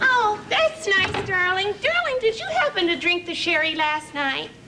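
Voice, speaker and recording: A woman puts on a squeaky character voice pitched extremely high. She keeps a moderate pace over clear background noise. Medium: comedy sketch. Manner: sweet, chirpy, affectionate.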